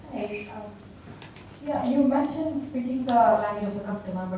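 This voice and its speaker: The room echo is audible and the background noise is noticeable. A woman speaks at a moderate pace with ordinary pitch variation. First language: not English. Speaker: audience member asking a question. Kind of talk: audience question. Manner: hesitant.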